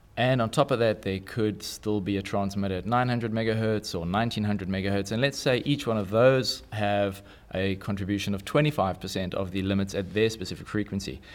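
With a South African accent, a man speaks at a fairly quick pace. His pitch is fairly low, with ordinary variation. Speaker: electronics engineer. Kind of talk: interview. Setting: studio.

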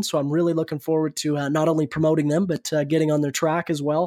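In a western Canadian accent, the words rush out at a very fast pace with monotone, flat intonation, on a very clean recording with a silent background and a dry, close sound with no echo. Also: man. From Canada, Alberta (Red Deer). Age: 20s. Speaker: racing driver. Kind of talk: interview. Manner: articulate.

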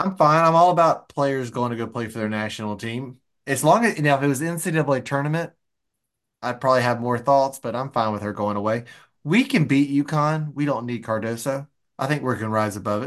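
A man talks at a fairly quick pace in an ordinary speaking voice. His medium pitch shows ordinary pitch variation over a quiet background. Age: 30s. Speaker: sports podcast co-host. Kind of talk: casual chat.

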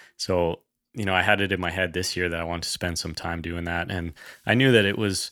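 On a very clean recording with a silent background, a man with a western Canadian accent speaks at a very deep, low pitch in a bright, sharp tone with fairly even intonation. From Canada, British Columbia (Kootenay region). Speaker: hunting podcaster. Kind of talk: casual chat.

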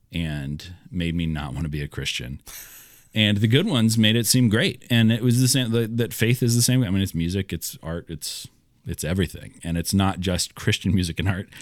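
Using an unremarkable speaking voice, a man with fairly low pitch and lively intonation talks at a moderate pace. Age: 30s. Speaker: podcast co-host, pastor. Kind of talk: casual chat.

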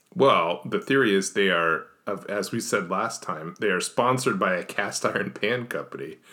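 The voice has an American accent and a bright, sharp tone, with ordinary pitch variation. It moves at a moderate pace with hardly any pauses. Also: man, fairly low pitch for a man. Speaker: podcast host. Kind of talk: casual chat. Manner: dry, joking.

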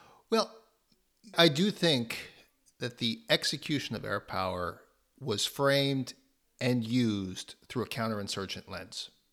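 A fairly slow speaker with lively intonation leaves long, frequent pauses in a very clean recording with a silent background. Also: man, medium pitch for a man. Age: 30s. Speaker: author and think tank researcher. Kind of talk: interview.

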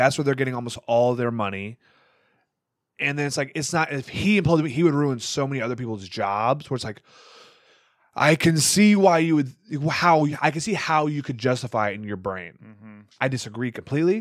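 In a plain, everyday voice with an American accent, a man speaks at a fairly quick pace and medium pitch, with lively intonation and big swings in loudness, on a very clean recording with a silent background. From US Midwest, Wisconsin. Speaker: stand-up comedian, military service member. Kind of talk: casual chat.

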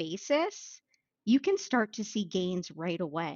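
Speaking at a fairly slow pace, a woman uses an unremarkable speaking voice with an American accent. Her intonation is lively. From Maine, US. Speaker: business executive and author. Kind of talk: podcast interview.

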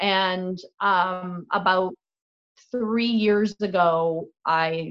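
In a quiet background, a woman with an Ontario accent speaks in a fairly low voice with ordinary pitch variation. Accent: Canadian (Ontario). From Canada, Niagara region (Fort Erie, Ontario). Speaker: actress and singer-songwriter. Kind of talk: casual chat.

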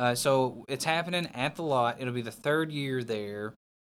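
Recorded very cleanly against a silent background, a man with a Southern US accent talks at a medium pitch with ordinary pitch variation. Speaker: professional wrestler. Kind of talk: casual chat.

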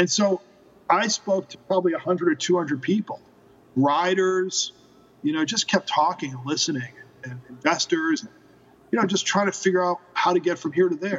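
His loudness swings widely as this man speaks at a moderate pace in a high pitch with ordinary pitch variation. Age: 40s. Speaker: motorcycle rental company founder. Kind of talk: interview.

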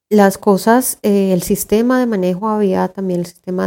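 A woman speaks at a fairly slow pace. Her tone is dark and mellow, with fairly even intonation. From Colombia, Tunja (Boyacá). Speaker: theatre director, cultural manager. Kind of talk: interview. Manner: hesitant, many fillers.

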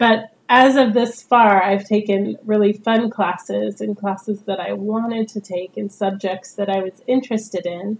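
The speaker has a West Coast American accent and a moderate pace. The intonation stays fairly even. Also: woman, medium pitch for a woman. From Northern California. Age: 40s. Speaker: podcast host, mature student. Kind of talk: casual monologue. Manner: casual, with frequent fillers.

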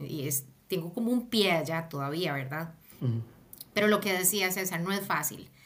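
Lively intonation in a Costa Rican accent at a moderate pace, with noticeable background noise. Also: woman. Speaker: project manager. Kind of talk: interview.

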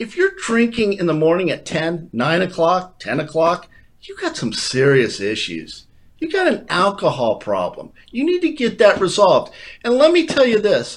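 Moderate pace from a man, very clean recording, silent background. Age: 60s. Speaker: former baseball player. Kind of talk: comedic sports banter. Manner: animated.

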